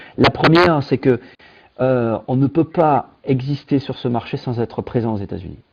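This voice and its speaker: A man at a fairly slow pace, with a southern French accent. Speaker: tech company founder. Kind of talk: interview. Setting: video call. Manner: hesitant, many fillers.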